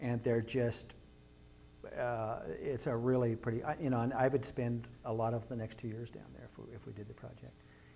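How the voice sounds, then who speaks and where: In an American accent, a man with a medium pitch and a dark, mellow, somewhat breathy tone speaks at a moderate pace with monotone, flat intonation, and audible room echo surrounds him. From Kansas. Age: 60s. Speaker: artist. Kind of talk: public lecture. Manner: informal, with frequent hesitations.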